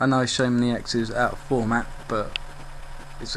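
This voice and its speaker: A man at medium pitch talks fairly quickly in a monotone, flat intonation, with noticeable background noise and audible room echo. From England. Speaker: video game YouTuber. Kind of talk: gameplay commentary. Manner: casual, with frequent fillers.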